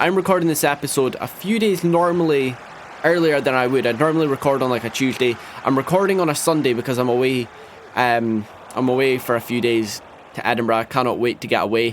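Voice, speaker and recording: A man's fairly high voice at a very fast pace over noticeable background noise. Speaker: gaming youtuber. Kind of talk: gameplay commentary. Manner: casual, rambling with fillers.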